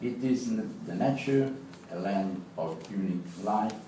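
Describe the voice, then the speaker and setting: A man with a strong Italian accent makes very wide pitch swings amid noticeable background noise and audible room echo. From Italy. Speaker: law professor. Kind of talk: prepared speech. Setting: club meeting with audience. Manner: halting.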